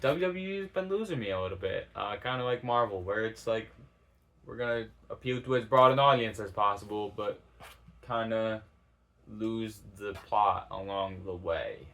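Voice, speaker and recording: Mumbling, a man speaks with lively intonation. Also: moderate pace. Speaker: YouTuber starting a channel. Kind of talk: casual monologue to camera. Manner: hesitant, many fillers; mumbled enunciation.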